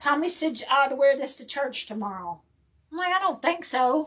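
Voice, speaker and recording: A woman speaks at a moderate pace in a high pitch. Her intonation is lively. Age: 60s. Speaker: craft livestream host. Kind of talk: casual chat. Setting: livestream. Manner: animated.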